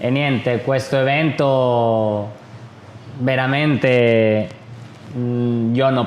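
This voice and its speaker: With a non-native accent, a man of medium pitch speaks in a flat monotone amid audible room echo. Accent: non-native Italian speaker. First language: Spanish (speaking Italian). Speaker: Muay Thai fighter and event promoter. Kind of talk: casual interview chat. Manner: halting.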